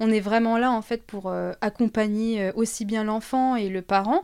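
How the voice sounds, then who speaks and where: Here a woman talks at a fairly slow pace with fairly even intonation and a fairly high pitch. The recording is very clean, with a silent background. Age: 20s. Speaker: early childhood educator. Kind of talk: casual interview chat. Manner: hesitant, many fillers.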